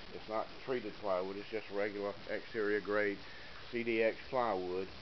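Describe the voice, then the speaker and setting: A man speaks with monotone, flat intonation. Noticeable background noise runs behind him. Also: moderate pace. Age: 60s. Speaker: woodworking hobbyist. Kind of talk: tutorial. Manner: casual, hesitant with many fillers.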